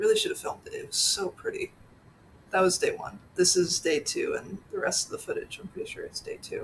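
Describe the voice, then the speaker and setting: A woman speaks at a fairly quick pace with a slight Pennsylvania accent. Her loudness swings widely. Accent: slight Pennsylvania accent on some words. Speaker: orchid vlogger. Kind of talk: casual vlog voiceover.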